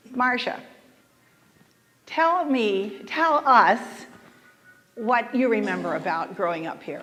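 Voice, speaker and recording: Someone with an American accent speaks at a very slow pace, leaving long, frequent pauses. Their pitch swings very widely, and music plays in the background. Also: woman, fairly high pitch for a woman. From US South. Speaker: panel moderator. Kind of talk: panel moderation.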